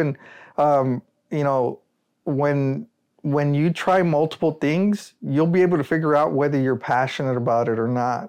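A man with an American accent speaks in an ordinary speaking voice at a fairly high pitch and a moderate pace. His pitch shows ordinary variation and his loudness stays very even against a quiet background. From Rio Grande Valley, South Texas. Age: 30s. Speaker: solar energy entrepreneur. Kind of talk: casual interview.

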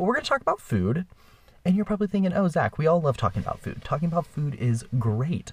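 Somewhat breathy, a man speaks in an animated tone with very wide pitch swings. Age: 20s. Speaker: podcast host. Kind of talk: casual monologue. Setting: makeshift studio in a bedroom closet.

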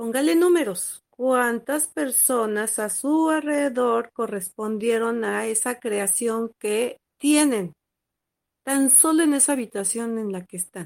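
With lively intonation, a woman speaks at a very slow pace. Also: fairly high pitch for a woman. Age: 50s. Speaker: spiritual teacher and podcast host. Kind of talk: lecture. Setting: small room at home. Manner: halting.

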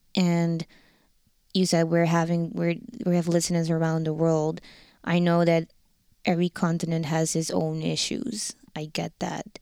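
Slow-paced and fairly low in pitch, a woman speaks in a dark, mellow tone with flat, monotone intonation and long, frequent pauses. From Netherlands, Rotterdam. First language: Dutch. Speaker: fashion model and dancer. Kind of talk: casual interview conversation. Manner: direct.

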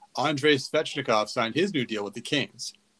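Here is an ordinary speaking voice. Its intonation is lively. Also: man. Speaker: podcast host. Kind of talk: casual sports podcast chat. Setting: remote recording, online audio call.

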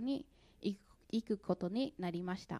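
At a very slow pace, a woman with an American accent speaks in a dark, mellow tone. Her pitch variation is ordinary, and the sound is dry and close with no echo. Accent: American accent in Japanese. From US Midwest (St. Louis, Missouri). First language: English (speaking Japanese). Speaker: church member giving testimony. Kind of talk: testimony. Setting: church.

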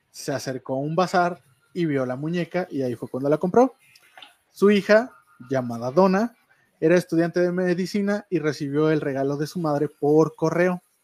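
A man with a normal speaking voice talks at a fairly slow pace and a fairly high pitch, with ordinary pitch variation and a dry, close sound with no echo. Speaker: online radio show co-host. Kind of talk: storytelling; casual chat. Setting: studio.

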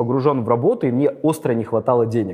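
Speaking very fast, a man rushes through his words. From St Petersburg, Russia. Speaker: lawyer and investor. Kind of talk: interview.

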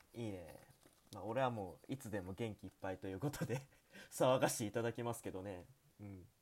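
At a fairly quick pace, a man speaks with a fairly low pitch and ordinary pitch variation. His loudness swings widely. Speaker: student radio host. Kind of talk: casual chat. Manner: animated.

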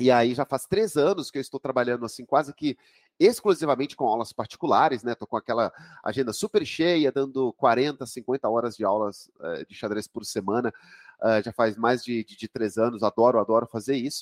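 A man with a normal speaking voice, medium pitch, ordinary pitch variation, big swings in loudness and a moderate pace, in a dry, close sound with no echo. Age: 40s. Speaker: chess master and coach. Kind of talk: interview.

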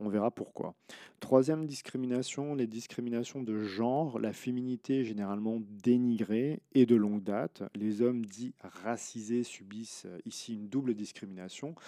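In a very clean recording with a silent background and a dry, close sound with no echo, a man speaks fairly slowly at medium pitch, his tone dark and mellow, with ordinary pitch variation. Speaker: podcast host and social science researcher. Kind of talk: scientific article summary. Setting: recording at home.

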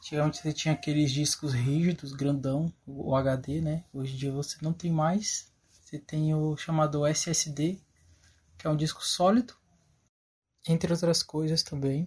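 At a fairly slow pace, a man speaks in an ordinary speaking voice with a fairly high pitch. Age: 20s. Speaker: electronics technician. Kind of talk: recorded testimony.

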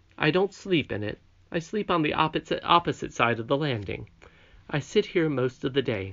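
Putting on a character voice, a man speaks at a moderate pace in a fairly high, shaky voice with a gentle tone and very wide pitch swings. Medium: read story. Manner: gentle, kindly.

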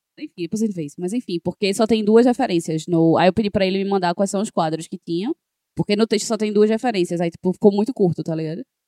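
Talking at a very fast pace, a woman has a dark, mellow tone and ordinary pitch variation. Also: medium pitch for a woman, dry, close sound with no echo. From Pernambuco, Brazil (Janga, Recife area). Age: 30s. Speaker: podcast co-host. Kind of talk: casual chat.

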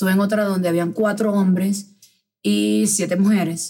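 Her voice somewhat breathy, a woman delivers her words at a moderate pace. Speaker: podcast host. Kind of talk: casual chat.

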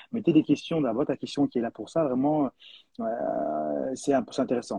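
This man has a medium pitch and lively intonation. He talks at a fairly quick pace. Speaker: live stream host. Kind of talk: live podcast interview. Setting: online live stream. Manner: hesitant, repeats words.

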